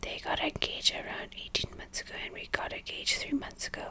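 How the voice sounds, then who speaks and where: A woman's whisper comes through noticeable background noise. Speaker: ASMR content creator. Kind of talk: reading Reddit story aloud. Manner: whispered, soft-spoken.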